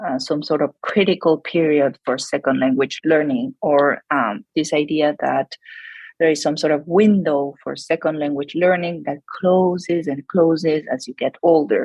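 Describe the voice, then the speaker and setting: Someone speaks with a Spanish accent at a moderate pace, using ordinary pitch variation. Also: woman, very deep, low pitch for a woman. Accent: non-native English accent, Spanish. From Argentina. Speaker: psychology researcher. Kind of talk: podcast interview. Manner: hesitant, many fillers.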